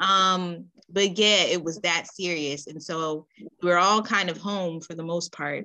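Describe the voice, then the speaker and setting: Here a woman with an American accent speaks at a fairly slow pace in a bright, sharp tone. Her intonation is fairly even, while her loudness swings widely. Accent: urban US vernacular, self-described. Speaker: podcast host. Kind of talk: casual interview chat. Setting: podcast recording.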